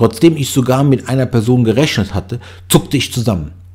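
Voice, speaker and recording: A man with a medium-pitched, somewhat breathy voice speaks at a moderate pace. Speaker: audiobook narrator. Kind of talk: horror story reading.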